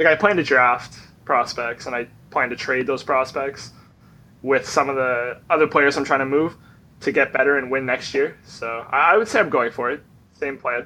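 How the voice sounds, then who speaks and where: With a bright, sharp tone, a man speaks at a moderate pace and a fairly high pitch with ordinary pitch variation. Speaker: fantasy league player. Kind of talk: casual chat. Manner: loud.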